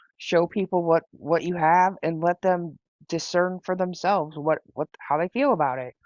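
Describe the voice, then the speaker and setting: The speaker has a plain, everyday voice. Intonation stays fairly even throughout. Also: woman. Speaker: live stream host. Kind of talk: live stream chat.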